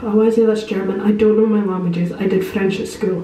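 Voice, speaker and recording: A woman with a Scottish accent and a fairly high pitch speaks amid audible room echo and noticeable background noise. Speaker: hotel review vlogger. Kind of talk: casual vlog walkthrough. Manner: fast; animated.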